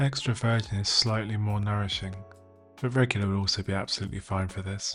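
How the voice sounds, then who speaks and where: With music in the background, a man speaks at a fairly quick pace. His fairly low voice holds a fairly even intonation. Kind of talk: DIY tutorial narration.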